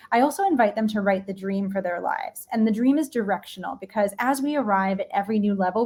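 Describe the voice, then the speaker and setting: A woman's somewhat breathy voice at a medium pitch, very fast in pace, with an American accent. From New York. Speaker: leadership and mindset coach. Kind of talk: live-streamed interview.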